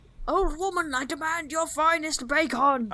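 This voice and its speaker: At a moderate pace, the speaker uses a put-on character voice pitched high. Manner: loud, gruff, demanding (as if in all caps).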